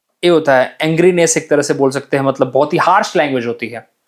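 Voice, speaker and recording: A man speaks at a moderate pace. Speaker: English vocabulary teacher for exam aspirants. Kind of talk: lecture. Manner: conversational, with filler sounds.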